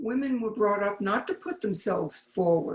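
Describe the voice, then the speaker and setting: There is ordinary pitch variation in this woman's somewhat breathy voice. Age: 80s+. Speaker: retired marathon champion. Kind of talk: stage interview. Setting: main stage at an expo.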